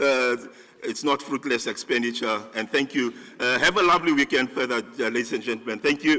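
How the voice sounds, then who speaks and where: A man speaks at a fairly quick pace and a medium pitch. His tone is bright and sharp, with ordinary pitch variation. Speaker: conference organizer giving closing remarks. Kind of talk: closing remarks at a conference. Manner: loud; halting, many fillers and restarts.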